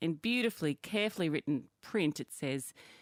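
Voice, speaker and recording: Lively intonation moves at a fairly quick pace in a very clean recording with a silent background and a dry, close sound with no echo. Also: woman. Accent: Australian. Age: 50s. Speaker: podcast co-host. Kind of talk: casual chat.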